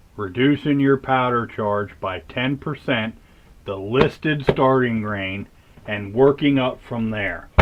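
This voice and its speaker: Speech comes very slowly from a man. His voice is medium in pitch. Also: ordinary pitch variation. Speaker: firearms reloading hobbyist video creator. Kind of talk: casual tutorial talk to camera. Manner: rambling, halting with false starts.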